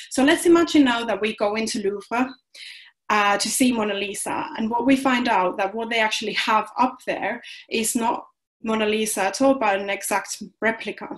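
The speaker has a Finnish accent and keeps a moderate pace with ordinary pitch variation. The background is quiet. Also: woman, fairly high pitch for a woman. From Finland. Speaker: philosophy doctoral researcher. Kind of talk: lecture. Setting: video call. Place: home room. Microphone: webcam.

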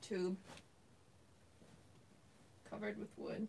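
Somewhat breathy and monotone with flat intonation, a woman speaks at a fairly slow pace against light background noise. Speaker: livestreamer. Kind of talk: casual livestream chat reading. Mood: subdued, worried. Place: home room. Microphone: webcam.

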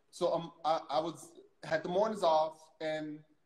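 A man's voice is heard with audible room echo against a quiet background. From US South (Louisiana). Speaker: interview show host. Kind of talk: casual interview conversation. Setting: video call livestream. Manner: halting, repeats words. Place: home room. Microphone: phone near.

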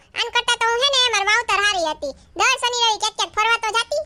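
A woman's put-on character voice, squeaky and extremely high-pitched, at a very fast pace, with a dry, close sound and no echo. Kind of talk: family comedy sketch. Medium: comedy sketch. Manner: talkative, complaining.

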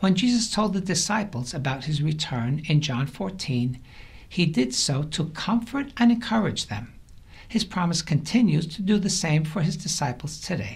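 High-pitched male voice with very wide pitch swings, at a moderate pace. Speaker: church teacher. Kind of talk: devotional teaching. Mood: warm, encouraging. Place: studio.

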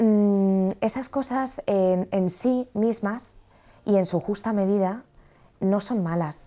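With a dark, mellow tone, the speech moves at a very slow pace, its loudness very even and its pitch variation ordinary. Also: woman, medium pitch for a woman. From Madrid, Spain; Spain. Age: 30s. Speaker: train driver sharing faith story; interview guest. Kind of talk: testimony. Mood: earnest personal testimony. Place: studio. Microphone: lapel.

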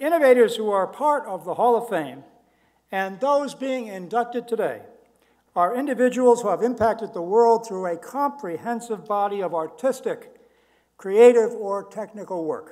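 Against a quiet background, the speech has big swings in loudness at a moderate pace. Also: man, high pitch for a man, ordinary pitch variation. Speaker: ceremony host or university official. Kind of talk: formal ceremony speech. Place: hall. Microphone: podium.

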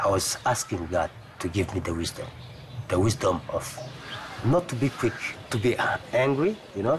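Speech at a moderate pace has long, frequent pauses and very wide pitch swings. Background noise is noticeable. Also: man, medium pitch for a man. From DR Congo. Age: 50s. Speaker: journalism fixer. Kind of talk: documentary interview. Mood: calm, reflective. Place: garden. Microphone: lapel.

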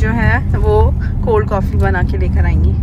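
A woman at a fairly slow pace, dry with no echo, amid loud background noise. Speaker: travel vlogger. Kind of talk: casual vlog chat. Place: car.

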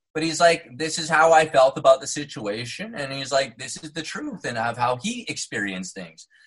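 A man with a General American accent speaks at a moderate pace in a fairly high voice with vocal fry. His pitch swings very widely and his loudness rises and falls sharply. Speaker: actor. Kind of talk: podcast interview answer. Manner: casual, enthusiastic.

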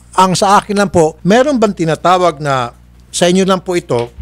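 The delivery holds a moderate pace. Behind it, music is playing. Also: man. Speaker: show host. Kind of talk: interview questioning. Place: studio. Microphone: studio mic.

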